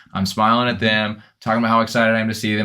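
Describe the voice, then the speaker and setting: Very fast and loud, a bright, sharp voice comes through a very clean recording with a silent background. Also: man. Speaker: personal trainer. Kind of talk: casual chat.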